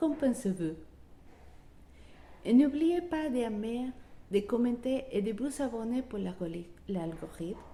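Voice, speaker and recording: A woman's high, dark and mellow voice in a non-native accent, very slow, with very wide pitch swings and long, frequent pauses. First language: not French (speaking French). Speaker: wellbeing coach. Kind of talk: motivational talk. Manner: halting.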